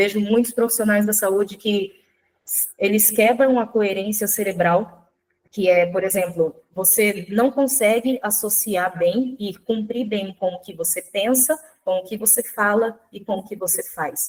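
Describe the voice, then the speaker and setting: A woman with a normal speaking voice at a medium pitch talks at a fairly slow pace with fairly even intonation and big swings in loudness. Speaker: nutrition speaker. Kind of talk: online workshop lecture.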